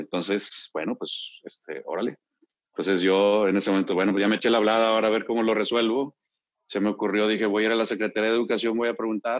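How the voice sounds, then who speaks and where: A man's fairly low voice, very fast and monotone with flat intonation. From Monterrey, northern Mexico (born Mexico City). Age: 50s. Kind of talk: casual chat. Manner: halting, many repetitions.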